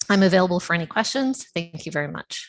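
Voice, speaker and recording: A woman's medium-pitched voice at a very fast pace, with a dry, close sound and no echo. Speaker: planning consultant presenting an application. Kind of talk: formal presentation to council.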